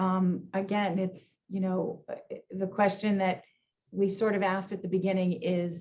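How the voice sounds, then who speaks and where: With a Boston accent, a woman speaks at a medium pitch and a moderate pace, somewhat breathy. Her intonation is monotone and flat. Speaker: insurance executive. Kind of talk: panel discussion. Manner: halting, many fillers.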